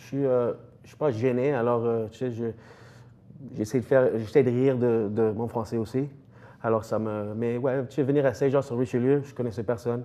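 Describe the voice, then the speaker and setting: Big swings in loudness mark a man's medium-pitched voice, which moves at a moderate pace with fairly even intonation and long, frequent pauses. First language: English (speaking French). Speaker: strength coach, gym owner. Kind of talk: TV interview. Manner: halting, many hesitations.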